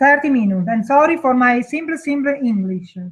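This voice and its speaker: A high-pitched woman's voice in an Italian accent. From Italy. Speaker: webinar co-organizer, product distributor. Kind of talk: webinar introduction. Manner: halting.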